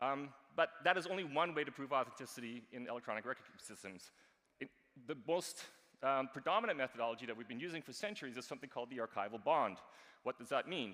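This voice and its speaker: The voice has a bright, sharp tone, races along at a very fast pace, and swings widely in loudness. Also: man, medium pitch for a man, lively intonation. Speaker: archivist and blockchain consultant. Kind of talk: conference talk.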